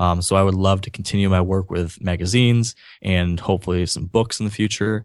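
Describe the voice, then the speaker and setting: Over a quiet background, a man speaks with an American accent at a fairly quick pace. His pitch is very deep and low, and his intonation fairly even. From Michigan, Grand Rapids. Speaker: outdoor blogger and podcaster. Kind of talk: interview storytelling.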